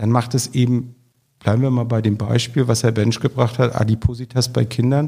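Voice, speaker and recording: His voice is somewhat breathy, with a dark, mellow tone, as the man speaks at a moderate pace and medium pitch with fairly even intonation. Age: 50s. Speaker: public health office director. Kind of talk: interview.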